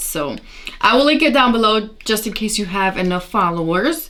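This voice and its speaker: A woman speaks loudly at a moderate pace. Noticeable background noise is present. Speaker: beauty youtuber. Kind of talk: tutorial. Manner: casual chatty.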